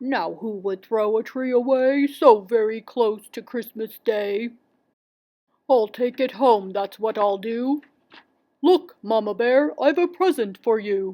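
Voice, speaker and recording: Putting on a character voice, a woman speaks at a fairly slow pace and a fairly high pitch. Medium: read story.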